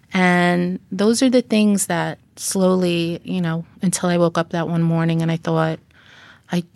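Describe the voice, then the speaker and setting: A plain, everyday voice speaks at a fairly slow pace with fairly even intonation, in a dry, close sound with no echo on a very clean recording with a silent background. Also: woman. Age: 40s. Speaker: author and abuse survivor. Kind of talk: interview, personal testimony.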